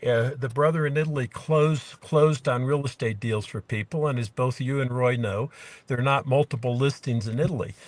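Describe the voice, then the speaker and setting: Against a quiet background, a somewhat breathy man talks at a fairly quick pace, at medium pitch with fairly even intonation. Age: 60s. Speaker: small farmer, property owner abroad. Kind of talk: interview. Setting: video call from a car in the mountains. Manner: halting, many fillers.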